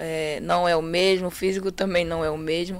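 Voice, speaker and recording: In a very clean recording with a silent background, a woman speaks at a moderate pace with fairly low pitch. She has an unremarkable speaking voice with fairly even intonation. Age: 20s. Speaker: professional footballer. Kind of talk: interview.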